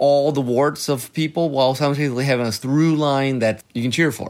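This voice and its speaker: A man with a normal speaking voice, fairly high in pitch, at a fairly quick pace with ordinary pitch variation. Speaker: podcast host. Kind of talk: casual chat about movies.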